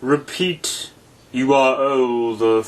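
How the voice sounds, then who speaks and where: A man puts on a character voice at a medium pitch. His intonation stays fairly even. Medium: read story. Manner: terse, contradicting, short remarks.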